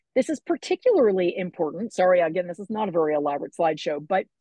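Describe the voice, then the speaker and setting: Her pitch swings very widely. The woman's voice is somewhat breathy. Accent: American. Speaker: political activist giving a talk. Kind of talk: presentation talk. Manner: fast; animated.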